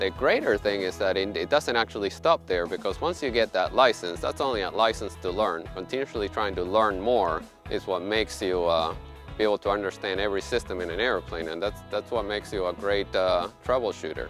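A man with a fairly low pitch talks at a fairly quick pace, his dry sound carrying no echo, while music plays clearly in the background. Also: ordinary pitch variation. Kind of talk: interview answer. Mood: warm, proud of work. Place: street. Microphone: lapel.

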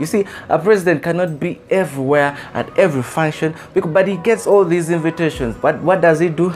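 Faint music plays in the background. Over it, a man speaks at a fairly quick pace. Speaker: motivational speaker. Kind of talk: motivational speech. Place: home room. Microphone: lapel.

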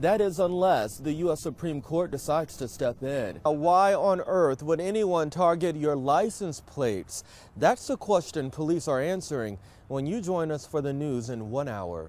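A man with a plain, everyday voice and an American accent talks at a moderate pace, with a fairly high pitch and lively intonation. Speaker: news anchor and reporter. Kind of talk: TV news anchor and field reporter reel. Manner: polished, upbeat, professional broadcast delivery.

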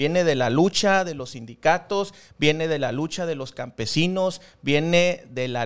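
A man talks at a fairly slow pace with a fairly high pitch. His pitch varies ordinarily over a quiet background. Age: young. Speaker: political commentator and public servant; political commentator. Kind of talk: political discussion panel. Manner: formal. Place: studio. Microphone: studio mic.

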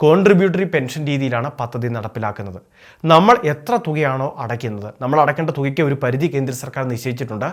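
Lively intonation runs through a normal speaking voice on a very clean recording with a silent background. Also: man. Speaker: YouTube news explainer. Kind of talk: informational narration.

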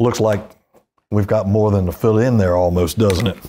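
At a moderate pace, a man speaks with a dark, mellow tone and fairly low pitch. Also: fairly even intonation.

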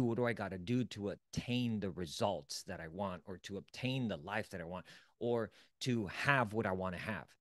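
Against a quiet background, a man speaks at a moderate pace with a dry sound and no echo. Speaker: self-development coach. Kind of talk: motivational lecture. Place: home room. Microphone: studio mic.

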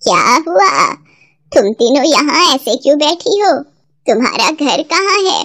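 This is a cartoonish character voice, female-sounding and squeaky. It is high-pitched for a woman and moves at a fairly slow pace. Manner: warm, motherly.

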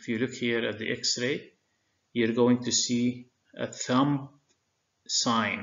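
A man at a very slow pace, monotone and flat, with long, frequent pauses. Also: medium pitch for a man. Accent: Arabic. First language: Arabic. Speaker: medical lecturer. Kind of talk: lecture. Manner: frequent filler hesitations.

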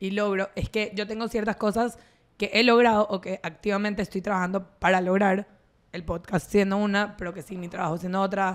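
A woman speaks with a Venezuelan accent. Her delivery is fairly quick, with monotone, flat intonation. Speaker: podcast co-host. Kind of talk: casual chat. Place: home room. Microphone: studio mic.

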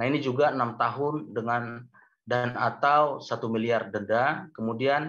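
A man talks fairly slowly, his intonation fairly even, with a quiet background behind him. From Medan, North Sumatra; North Sumatra, Indonesia. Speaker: university lecturer. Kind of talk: webinar lecture. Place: home room. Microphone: video call.

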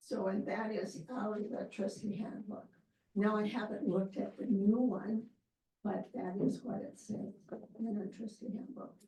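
This woman's fairly high voice holds fairly even intonation as she goes along at a moderate pace. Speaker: library board trustee. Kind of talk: public meeting discussion.

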